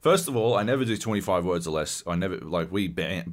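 A man with an Australian accent, lively intonation and a moderate pace. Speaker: podcast host. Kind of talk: casual chat, heavily swearing.

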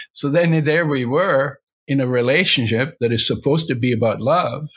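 On a very clean recording with a silent background, a man with a fairly high pitch and a somewhat breathy voice speaks at a moderate pace with ordinary pitch variation. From Poland/Germany. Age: 80s+. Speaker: health author and entrepreneur. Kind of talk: interview.

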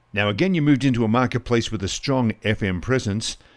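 A man with a normal speaking voice talks at a fairly quick pace and medium pitch, his intonation lively, on a very clean recording with a silent background. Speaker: podcast host. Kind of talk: interview.

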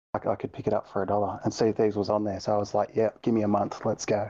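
With an Australian accent, a man talks at a very fast pace and a fairly low pitch against a quiet background. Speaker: gaming community moderator. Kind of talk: casual chat.

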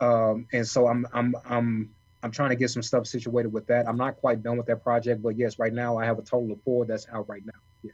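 Somewhat breathy, a man speaks at a fairly quick pace with a medium pitch and monotone, flat intonation. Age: 30s. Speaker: author and kidney transplant recipient. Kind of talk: interview storytelling.

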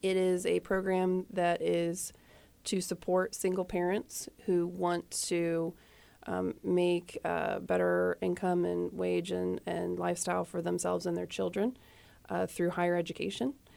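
Speaking in a Midwestern American accent, a woman keeps a fairly slow pace. Her loudness stays very even. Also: very clean recording, silent background. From US Midwest, Indiana. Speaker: nonprofit deputy director. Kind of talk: radio interview. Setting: studio.

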